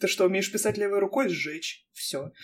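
A woman speaks at a medium pitch. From Armavir, Krasnodar region, Russia. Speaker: podcast host. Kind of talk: casual chat. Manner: animated, informal.

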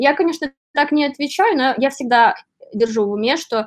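A woman talks at a fairly quick pace. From Belarus (Borisov area). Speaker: writer and luxury shop assistant. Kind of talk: casual interview.

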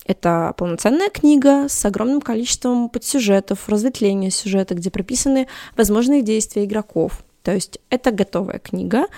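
A woman at a fairly high pitch with ordinary pitch variation and a moderate pace, in a dry, close sound with no echo. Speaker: cosplayer and tabletop gamer. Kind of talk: casual chat. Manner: articulate.

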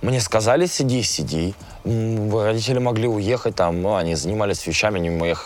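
A man with a fairly low voice speaks in an animated tone with lively intonation over noticeable background noise. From Russia, small town. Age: 20s. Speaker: musician and blogger. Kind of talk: interview.

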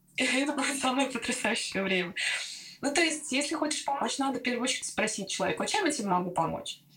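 A woman talks at a very fast pace in a high voice with very wide pitch swings. Noticeable background noise runs beneath her. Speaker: former doctor and new mother of twins. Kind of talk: personal testimony in casual interview. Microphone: poor recording, interference, re-recorded on other mic.

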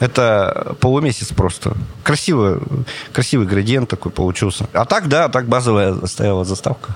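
An animated tone at a very even loudness, over noticeable background noise. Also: man, medium pitch for a man, lively intonation, moderate pace. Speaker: street photographer. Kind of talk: casual interview chat. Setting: planetarium dome.

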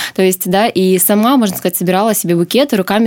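A woman talks at a very fast pace and a medium pitch. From Sakhalin, Russian Far East (Korsakov). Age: 30s. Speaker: flower shop owner. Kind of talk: interview.

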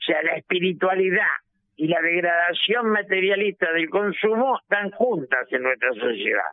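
Loudness stays very even as a man talks at a moderate pace. His pitch is high. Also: lively intonation. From Argentina. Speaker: political analyst, former legislator. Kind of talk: radio interview.

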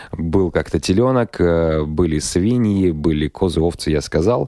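The voice has a dark, mellow tone and lively intonation. The sound is dry and close with no echo. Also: man. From Russia, Kirov. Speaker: radio host. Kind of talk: casual chat. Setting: studio.

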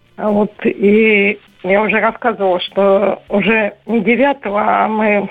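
A woman speaks at a very slow pace in a medium pitch, with monotone, flat intonation. Her loudness stays very even. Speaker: caller. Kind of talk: testimony. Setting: phone call.

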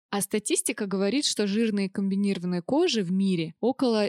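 The sound is dry and close with no echo as a woman talks in a plain, everyday voice with ordinary pitch variation. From Russia, Orenburg. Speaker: cosmetologist. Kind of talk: casual chat. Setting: studio.

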